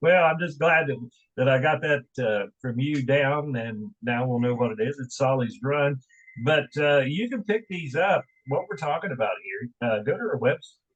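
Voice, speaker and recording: Speaking with an American accent, a man uses lively intonation at a moderate pace, his fairly high voice somewhat breathy. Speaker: radio host. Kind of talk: casual interview chat.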